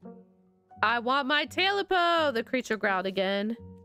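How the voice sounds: Just a natural reading voice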